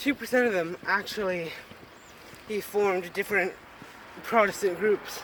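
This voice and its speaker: A man with a high-pitched voice speaks at a moderate pace, with fairly even intonation, long and frequent pauses, and noticeable background noise. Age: young. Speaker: son. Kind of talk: casual chat.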